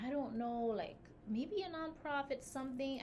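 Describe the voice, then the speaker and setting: A woman speaks over noticeable background noise. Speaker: podcast co-host and business founder. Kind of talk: casual chat. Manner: animated.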